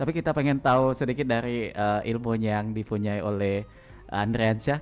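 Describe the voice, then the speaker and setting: Music plays in the background. A man speaks at a moderate pace with ordinary pitch variation. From Palembang, South Sumatra. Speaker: radio host. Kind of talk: radio talk show interview. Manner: frequent backchannel affirmations.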